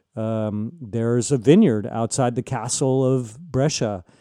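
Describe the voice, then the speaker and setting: A man's dark, mellow tone with an American accent and fairly even intonation. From San Diego, California. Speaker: wine writer. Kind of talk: interview. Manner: halting, many fillers and restarts.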